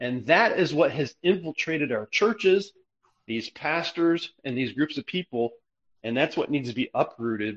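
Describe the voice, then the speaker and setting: A man with a fairly high pitch and an ordinary speaking voice talks at a moderate pace with lively intonation. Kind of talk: religious discussion.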